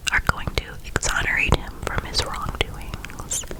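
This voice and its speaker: Noticeable background noise surrounds a whisper that unfolds very slowly. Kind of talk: ASMR TV recap. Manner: whispered.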